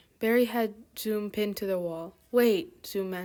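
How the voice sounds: The speaker reads in a natural reading voice with ordinary pitch variation.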